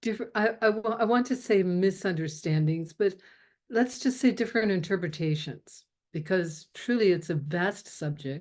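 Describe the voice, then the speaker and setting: Against a quiet background, a woman with a plain, everyday voice speaks at a moderate pace, her medium pitch showing ordinary pitch variation. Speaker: spiritual teacher. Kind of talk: teaching talk.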